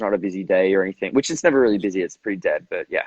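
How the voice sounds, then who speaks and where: The speaker is a man with an Australian accent. He talks in a fairly low register. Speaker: actor. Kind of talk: casual chat.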